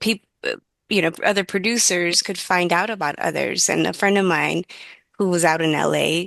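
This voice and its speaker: A woman with a Spanish accent speaks at a fairly low pitch with fairly even intonation and vocal fry, the sound dry and close with no echo. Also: moderate pace, quiet background. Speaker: dance festival director. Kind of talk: panel discussion.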